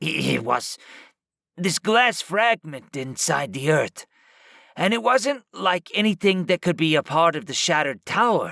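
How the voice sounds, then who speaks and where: A man puts on a raspy character voice at a high pitch. He speaks at a moderate pace. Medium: read story.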